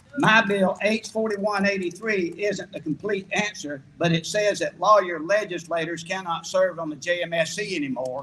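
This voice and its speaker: A raised, projected voice speaks at a moderate pace with ordinary pitch variation. Noticeable background noise runs underneath. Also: man, high pitch for a man. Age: 70s. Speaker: state legislator. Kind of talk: rally speech.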